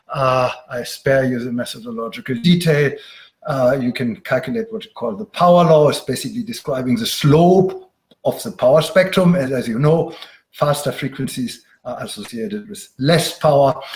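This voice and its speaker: Somewhat breathy and fairly high in pitch, a man with a German accent speaks at a moderate pace with lively intonation and big swings in loudness. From Germany. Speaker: professor. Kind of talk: lecture. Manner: frequent filler sounds, uh.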